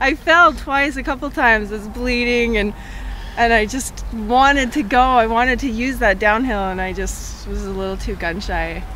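At a moderate pace, a fairly high-pitched woman with a Canadian accent speaks with ordinary pitch variation amid noticeable background noise and audible room echo. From Canada, southern Alberta. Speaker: ultramarathon runner. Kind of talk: post-race interview.

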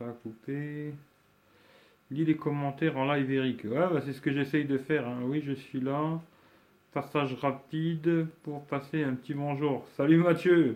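Fairly high-pitched and monotone, flat in intonation, a man speaks at a fairly slow pace. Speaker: YouTuber doing a live stream. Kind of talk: casual live stream chat. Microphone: weak network connection, lag.

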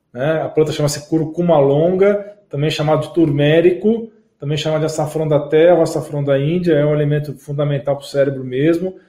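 In an ordinary speaking voice, a man talks with fairly high pitch, fairly even intonation, and hardly any pauses. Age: 40s. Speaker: medical doctor. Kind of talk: live stream health talk with viewer Q&A. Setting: live broadcast on YouTube and Facebook. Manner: conversational, frequent tag 'tá?'.

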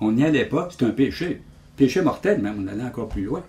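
Somewhat breathy and dark, mellow in tone, the voice moves at a fairly quick pace through very wide pitch swings. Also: man. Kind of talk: interview.

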